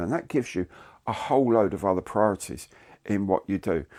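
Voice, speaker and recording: Captured as a very clean recording with a silent background and a dry, close sound with no echo, a man with a British accent speaks at a fairly low pitch with ordinary pitch variation. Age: 60s. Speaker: YouTuber. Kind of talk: casual monologue to camera. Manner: conversational, with hesitations.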